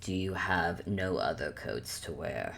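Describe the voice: A woman's put-on character voice, extremely low-pitched with vocal fry, lively intonation and a fairly slow pace.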